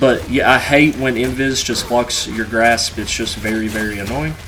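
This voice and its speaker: A man with a medium pitch talks at a moderate pace and with ordinary pitch variation, with noticeable background noise and audible room echo. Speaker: gaming YouTuber. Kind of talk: gameplay review commentary. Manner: casual, filler-heavy.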